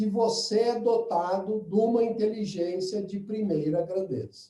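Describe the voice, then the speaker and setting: A man's voice has a dark, mellow tone, and room echo is audible. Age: old. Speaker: lecturer. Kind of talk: webinar talk.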